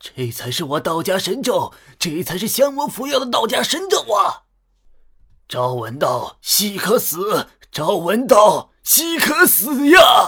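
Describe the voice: A man puts on a character voice that is high-pitched and bright and sharp, with a slightly husky edge, speaking at a slow pace with very wide pitch swings.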